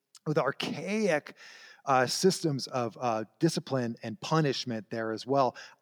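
A man with an American accent in a normal speaking voice, fairly high pitch and moderate pace, with a dry, close sound with no echo on a very clean recording with a silent background. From Southern California. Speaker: history scholar. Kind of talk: casual interview.

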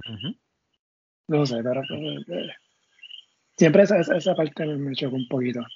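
This man's voice sits fairly high and sounds somewhat breathy, with lively intonation. He talks at a fairly quick pace but takes long, frequent pauses. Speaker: sports podcast host. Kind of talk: casual chat.

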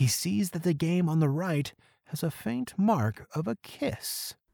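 The delivery has an animated, dramatic tone. The recording is very clean, with a silent background. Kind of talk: scripted narration of a Christmas story, read aloud. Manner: animated, dramatic storyteller pacing with sound effects.

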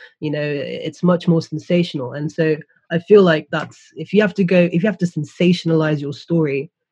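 Somewhat breathy and dark, mellow in tone, a woman speaks at a very deep, low pitch with fairly even intonation, the sound dry and close with no echo. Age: 20s. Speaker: guest, youth worker. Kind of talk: casual discussion.

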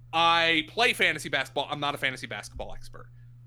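A man speaks with an American accent in a fairly high pitch. His tone is bright and sharp, with vocal fry. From southeastern Pennsylvania (Lehigh Valley). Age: 30s. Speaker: sports radio host and fantasy football analyst. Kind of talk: podcast interview.

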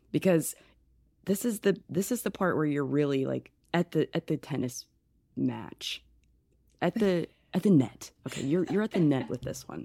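A woman's very deep, low voice with vocal fry and a dark, mellow tone, lively intonation, moderate pace and long, frequent pauses, on a very clean, dry, close recording with a silent background and no echo. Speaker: podcast co-host. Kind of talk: casual interview chat.

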